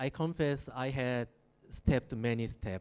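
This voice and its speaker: In a Korean accent, the speaker goes at a very slow pace with ordinary pitch variation. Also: man. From South Korea. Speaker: architect. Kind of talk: lecture. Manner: halting.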